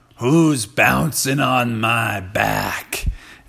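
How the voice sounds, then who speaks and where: A man puts on a character voice. It sits at medium pitch and sounds raspy. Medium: read story.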